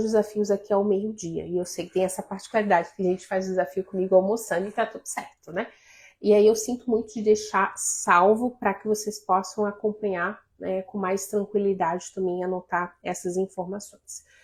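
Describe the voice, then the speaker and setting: The speech moves at a moderate pace in a monotone, flat way, with big swings in loudness. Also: woman, medium pitch for a woman. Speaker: life coach. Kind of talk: live stream talk to viewers.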